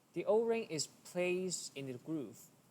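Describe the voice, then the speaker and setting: A man with a non-native accent, a fairly high pitch, lively intonation and a fairly slow pace. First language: not English. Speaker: engineering tutorial creator. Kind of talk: tutorial.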